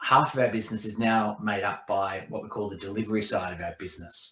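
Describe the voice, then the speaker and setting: With an Australian accent, a man speaks at a fairly quick pace in a bright, sharp tone. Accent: thick Australian. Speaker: tech company executive. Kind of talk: presentation.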